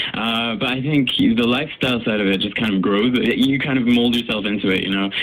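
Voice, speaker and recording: Amid noticeable background noise and audible room echo, a man at medium pitch talks at a very fast pace with fairly even intonation. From Canada, raised in Paris. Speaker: singer. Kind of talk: radio interview. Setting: radio studio.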